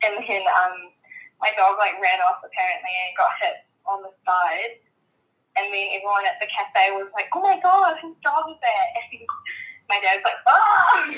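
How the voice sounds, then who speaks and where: A woman with a New Zealand accent speaks at a moderate pace in a fairly high, bright and sharp voice, her pitch swinging very widely and her loudness rising and falling a lot. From New Zealand, Samoan heritage. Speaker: podcast guest, friend of host. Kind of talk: casual chat.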